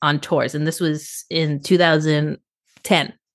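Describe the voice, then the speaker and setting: This woman has an American accent and an ordinary speaking voice, pitched fairly low. She talks at a fairly slow pace over a quiet background. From Boston. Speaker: tour photographer. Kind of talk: casual chat.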